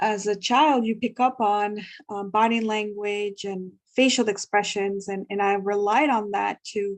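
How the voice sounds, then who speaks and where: A woman speaks at a fairly slow pace with a Spanish accent. Her intonation stays fairly even against a quiet background. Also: medium pitch for a woman. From Guatemala. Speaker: ESL teacher. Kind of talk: workshop discussion sharing. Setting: video call.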